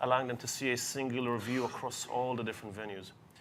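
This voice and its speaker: A man talks at a medium pitch with a bright, sharp tone. His pace is fairly quick and his intonation fairly even. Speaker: technology vendor representative. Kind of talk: panel discussion.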